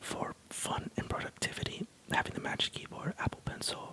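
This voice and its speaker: Whispering, a man keeps to a moderate pace. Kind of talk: ASMR tech review talk. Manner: whispered.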